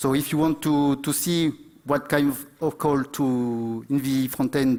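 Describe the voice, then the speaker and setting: A man with a French accent speaks at a medium pitch with fairly even intonation. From France. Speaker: conference speaker, IT company founder. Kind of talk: conference talk. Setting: stage with audience. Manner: halting, many fillers.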